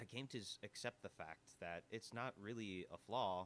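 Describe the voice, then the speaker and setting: A man with a fairly low voice and ordinary pitch variation. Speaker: podcast host. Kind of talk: casual podcast monologue. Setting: live recording at an audio bar. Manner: loud; animated.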